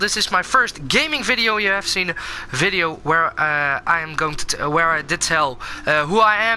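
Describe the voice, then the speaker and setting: Noticeable background noise sits behind a speaker going at a moderate pace in a Dutch accent. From Netherlands. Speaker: gaming YouTuber. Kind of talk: gameplay commentary. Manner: halting, many fillers.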